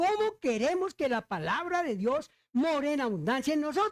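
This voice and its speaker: Speaking at a fairly slow pace, a man lets his pitch swing very widely. The sound is dry and close, without any echo. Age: 80s+. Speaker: pastor. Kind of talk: sermon.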